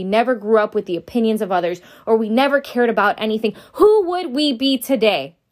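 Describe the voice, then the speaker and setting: The speech is fairly quick with ordinary pitch variation. The recording is very clean, with a silent background. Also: woman. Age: 20s. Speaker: podcast host. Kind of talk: solo motivational podcast monologue. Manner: casual, with frequent fillers and laughter.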